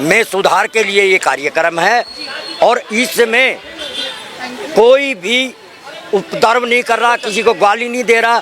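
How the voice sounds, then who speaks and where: With crowd noise behind him, a man raises and projects his voice, his intonation lively. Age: 70s. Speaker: protester. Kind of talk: street interview.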